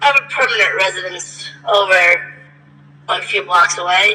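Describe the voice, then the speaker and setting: A put-on character voice at a middle pitch is delivered at a moderate pace. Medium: game stream. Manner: polite, old-fashioned, smooth.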